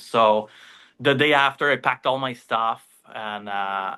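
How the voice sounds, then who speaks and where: Here a man speaks with a Quebec accent. His pitch varies in an ordinary way. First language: French. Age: 40s. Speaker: fishing charter owner and entrepreneur. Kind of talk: casual interview storytelling. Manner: halting, many fillers.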